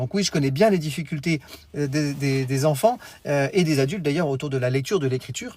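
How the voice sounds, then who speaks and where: Somewhat breathy, a man speaks at a very fast pace with a fairly high pitch. Pitch variation stays ordinary. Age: 40s. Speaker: teacher trainer and education coach. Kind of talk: live stream talk to parents. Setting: live stream.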